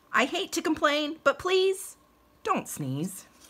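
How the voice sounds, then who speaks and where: A woman's put-on character voice, extremely high in pitch, with lively intonation and a fairly slow pace. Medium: read story. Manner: pleading, alarmed.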